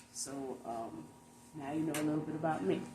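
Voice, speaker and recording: With an American accent, a woman speaks at a very deep, low pitch with ordinary pitch variation, amid audible room echo and noticeable background noise. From New York. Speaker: interviewer. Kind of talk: interview.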